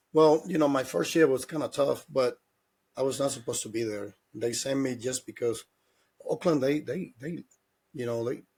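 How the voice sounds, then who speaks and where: Speaking in a Spanish accent at a moderate pace, a man with a somewhat breathy, medium-pitched voice shows ordinary pitch variation and long, frequent pauses. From Dominican Republic. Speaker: former pro baseball player and hitting coach. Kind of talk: interview.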